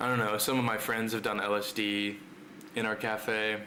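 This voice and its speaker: A man speaks in a fairly low pitch. Room echo is audible along with noticeable background noise. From Netherlands. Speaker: streamer. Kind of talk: casual chat. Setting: live stream.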